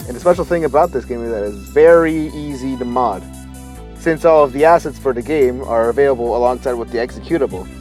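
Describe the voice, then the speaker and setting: Music sounds in the background. Over it, a man speaks at a very fast pace. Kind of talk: casual video essay narration. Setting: home recording, low-quality mic.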